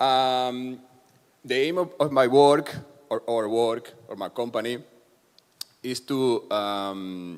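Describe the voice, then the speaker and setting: A very slow delivery with a Spanish accent and ordinary pitch variation. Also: man. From Spain, Terrassa near Barcelona. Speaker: cultural IT specialist. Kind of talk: conference presentation.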